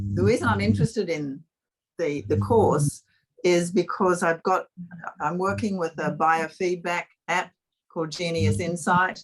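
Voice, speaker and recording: Speaking at a fairly slow pace with long, frequent pauses, a woman swings her pitch very widely and shows vocal fry. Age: 70s. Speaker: participant in a group video session. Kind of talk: casual chat. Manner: halting.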